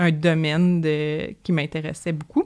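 An unremarkable speaking voice with fairly even intonation comes through in a very clean recording with a silent background. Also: woman. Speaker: animal health technician. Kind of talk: interview.

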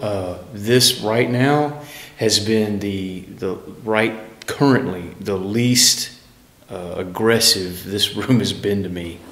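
A man's fairly low voice, very slow, with ordinary pitch variation and audible room echo. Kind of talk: casual commentary. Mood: uneasy, reflective. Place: hall.

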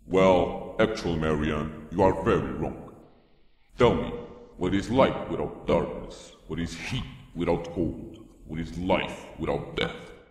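In a cartoonish character voice with a very deep, low pitch, a man speaks at a fairly slow pace against a clear echo. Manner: calm, solemn, persuasive.

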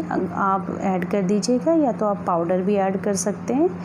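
Against noticeable background noise, a woman talks at a fairly slow pace with ordinary pitch variation. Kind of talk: tutorial. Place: kitchen.

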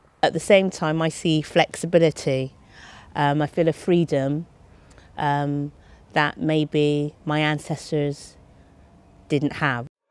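A woman speaks at a very slow pace with long, frequent pauses in a very deep, low voice. Her intonation is fairly even, and the sound is dry with no echo. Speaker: theatre company member. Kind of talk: interview answer. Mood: reflective, earnest. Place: garden.

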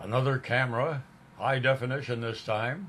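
A man speaks with a somewhat breathy voice and fairly even intonation. Light background noise sits behind him. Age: 80s+. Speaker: WWII veteran. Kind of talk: show-and-tell monologue to camera. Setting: self-recorded video. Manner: jokey, good-humored. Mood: cheerful, proud. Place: home room. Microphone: camera far.

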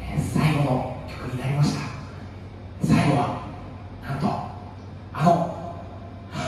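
There is strong room echo and light background noise. A man speaks at a very slow pace. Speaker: host of a special live stream. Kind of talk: MC talk introducing a song. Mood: grateful, excited, nervous. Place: cafe.

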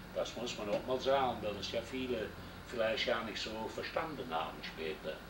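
Amid noticeable background noise and audible room echo, a man speaks at a medium pitch and moderate pace with lively intonation. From Germany, Rhineland (Düren). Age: 60s. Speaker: WWII veteran, former prisoner of war. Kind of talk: oral history interview.

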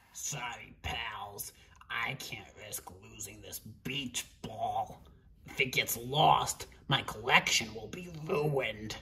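A woman puts on a character voice with an extremely low pitch. She speaks at a slow pace in a bright, sharp tone. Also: ordinary pitch variation.

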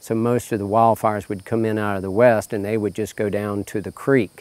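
Delivered at a moderate pace, the flat, monotone voice has a dry sound with no echo. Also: man. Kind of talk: interview answer. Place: farm machine. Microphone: lapel.

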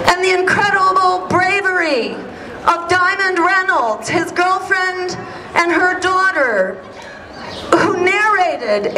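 Amid noticeable background noise, a woman uses a raised, projected voice at a very slow pace. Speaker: speaker. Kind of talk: rally speech. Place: street. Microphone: camera far.

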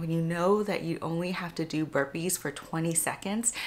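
At a moderate pace, a woman speaks with fairly low pitch and ordinary pitch variation. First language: not English. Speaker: family medicine physician and vlogger. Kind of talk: casual vlog monologue giving advice. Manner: friendly, conversational. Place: home room.

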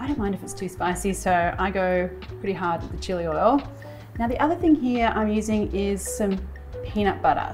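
With clear music in the background, a woman talks at a fairly quick pace, her loudness swinging widely. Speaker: cooking show host. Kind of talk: tutorial. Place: kitchen.

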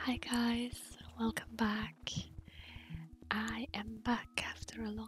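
A soft-spoken woman at a very slow pace with long, frequent pauses, dry sound with no echo, and light background noise. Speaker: gaming ASMR creator. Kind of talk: gaming ASMR ramble. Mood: friendly, smiling. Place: home room. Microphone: studio mic.

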